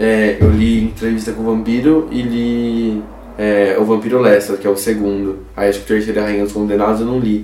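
A man at a fairly low pitch and moderate pace with fairly even intonation, plus audible room echo and noticeable background noise. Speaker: podcast co-host. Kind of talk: casual chat.

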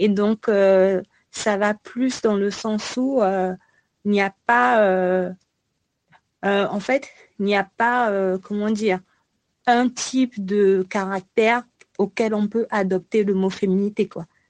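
The speech moves at a very slow pace with long, frequent pauses and fairly even intonation. The sound is dry and close, with no echo. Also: woman, medium pitch for a woman. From Congo. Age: 20s. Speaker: PhD student in biology. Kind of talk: casual chat.

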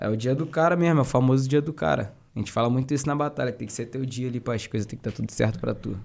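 A man talking at a very fast pace with hardly any pauses and ordinary pitch variation, in a very clean recording over a silent background. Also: medium pitch for a man. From Duque de Caxias, Baixada Fluminense, Rio de Janeiro. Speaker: rapper and battle MC. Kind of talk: casual chat.

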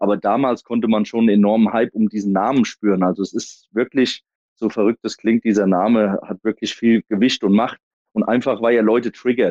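Speaking at a fairly quick pace, a man keeps his medium pitch in a monotone, flat intonation. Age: 30s. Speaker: American football head coach. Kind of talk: interview.

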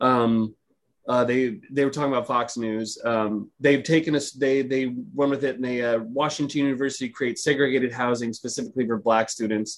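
Fairly quick and fairly even in intonation, this man talks in an unremarkable speaking voice at a medium pitch. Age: 30s. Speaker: podcast host. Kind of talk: casual chat.

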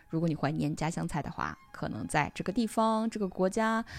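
A woman uses a plain, everyday voice. She speaks at a moderate pace with ordinary pitch variation. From China. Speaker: podcaster, IT professional. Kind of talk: reading aloud own essay.

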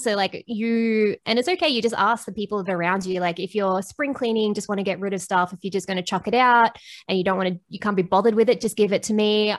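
In an Australian accent, a woman talks very fast with fairly even intonation on a very clean recording over a silent background. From Australia, Bendigo Victoria and Sydney. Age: 30s. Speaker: reseller and podcaster. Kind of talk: casual interview chat.

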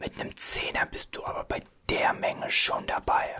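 Someone is whispering at a very slow pace. Noticeable background noise can be heard.

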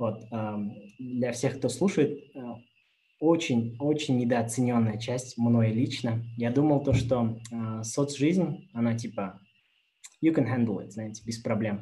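Long, frequent pauses break up a man's very slow speech at medium pitch with ordinary pitch variation. His tone is dark and mellow and somewhat breathy. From Kazakhstan. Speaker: former engineer sharing experience of working abroad. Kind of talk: webinar talk with Q&A. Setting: YouTube livestream.

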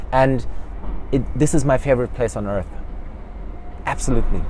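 There is noticeable background noise. A man speaks over it with ordinary pitch variation. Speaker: social entrepreneur. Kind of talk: casual interview. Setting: outdoors. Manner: animated.

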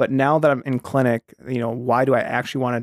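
Speaking with an American accent, a man holds a medium pitch and fairly even intonation. The recording is very clean with a silent background, dry and close with no echo. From northern Iowa, US, small farm town. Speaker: medical student. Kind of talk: casual interview chat.

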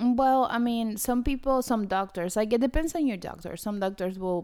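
A woman's dark, mellow voice in a Spanish accent, with lively intonation at a moderate pace. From Argentina. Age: 30s. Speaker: podcast co-host. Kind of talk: casual chat.

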